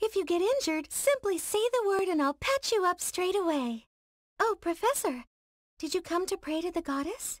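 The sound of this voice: At a moderate pace, a put-on character voice that sounds female squeaks at an extremely high pitch.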